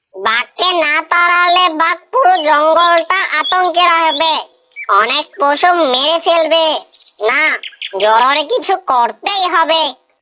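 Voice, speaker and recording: At a fairly slow pace, the speaker delivers lines in a cartoonish character voice. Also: woman, extremely high pitch for a woman. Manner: calm, persuasive.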